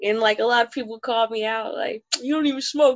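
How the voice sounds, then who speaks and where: A woman with an American accent, a plain, everyday voice, fairly high pitch and a fairly quick pace. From Oklahoma, Tulsa. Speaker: comedian. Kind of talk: casual chat.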